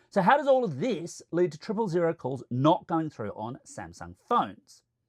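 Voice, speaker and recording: Talking in an Australian accent, a man uses a high pitch with very wide pitch swings and big swings in loudness. He keeps a moderate pace, and the sound is dry and close with no echo. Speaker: tech reviewer. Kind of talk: explainer video.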